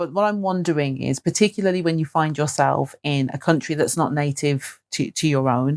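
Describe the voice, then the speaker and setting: In a dry, close sound with no echo and a very clean recording with a silent background, a woman with a very deep, low pitch speaks at a fairly quick pace with hardly any pauses and ordinary pitch variation. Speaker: podcast host. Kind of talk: podcast interview questions.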